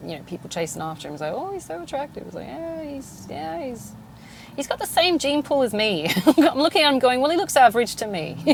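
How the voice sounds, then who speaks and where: Amid noticeable background noise, someone with an English accent speaks at a very fast pace, with very wide pitch swings and big swings in loudness. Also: woman, high pitch for a woman. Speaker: podcast host. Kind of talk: casual monologue. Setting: in a car. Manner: halting.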